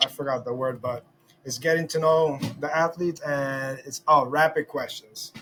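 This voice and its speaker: A man speaks at a moderate pace with a Spanish accent and fairly even intonation. Music plays in the background. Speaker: podcast host. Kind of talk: casual interview. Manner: halting.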